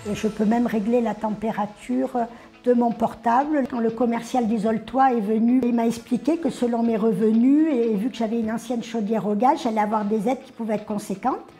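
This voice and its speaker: A woman's fairly high-pitched voice, fairly quick and fairly even in intonation, with noticeable background noise. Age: 60s. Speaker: retiree, customer. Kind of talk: testimony. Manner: hesitant, with fillers.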